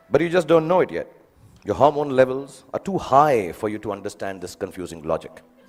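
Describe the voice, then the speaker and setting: Over music in the background, a man with an Indian accent talks at a fairly high pitch, his pitch swinging very widely. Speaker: film actor. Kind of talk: graduation speech. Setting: live audience, school event. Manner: humorous, conversational.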